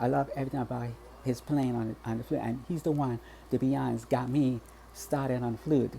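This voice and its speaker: A man with a US Virgin Islands accent at a moderate pace. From US Virgin Islands, Saint Thomas. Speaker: vlogger. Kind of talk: personal vlog. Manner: halting, many repetitions and false starts.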